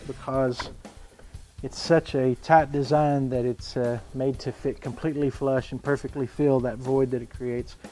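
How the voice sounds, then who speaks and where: A man at a moderate pace in a monotone, flat intonation, with faint music in the background. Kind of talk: tutorial. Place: garage.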